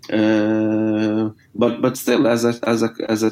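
This man has a fairly low-pitched voice with a dark, mellow tone. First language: Arabic. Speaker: writer. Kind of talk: interview. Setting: video or phone call. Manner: halting, many fillers and repetitions.

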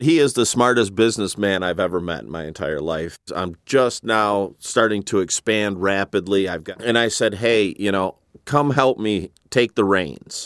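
A plain, everyday voice: a man with an American accent, fairly low pitch, ordinary pitch variation, moderate pace, and a dry, close sound with no echo. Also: very clean recording, silent background. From Flint, Michigan. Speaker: former payday lender. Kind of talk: interview.

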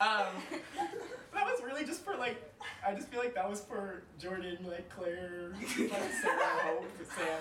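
Raising and projecting his voice, a man with an American accent speaks high-pitched at a fairly slow pace with lively intonation, over noticeable background noise. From San Francisco Bay Area, California. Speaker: stand-up comic. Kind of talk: stand-up comedy, crowd-work jokes then a personal anecdote. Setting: stage with audience.

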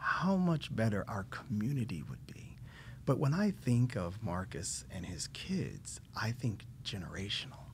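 Using vocal fry, a man talks at a fairly slow pace with very wide pitch swings. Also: medium pitch for a man. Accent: American. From Indiana, US Midwest. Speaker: nonprofit board member and healthcare company executive. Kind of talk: casual interview. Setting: studio.

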